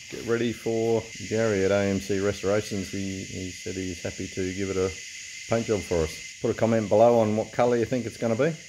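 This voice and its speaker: Fairly low male voice with fairly even intonation at a fairly quick pace, against noticeable background noise. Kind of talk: casual workshop vlog chat. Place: workshop.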